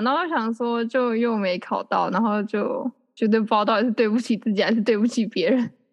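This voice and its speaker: A woman speaks in a normal speaking voice, pitched fairly high. Her pace is fairly quick, with hardly any pauses. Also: very even loudness. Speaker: podcast host. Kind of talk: casual chat.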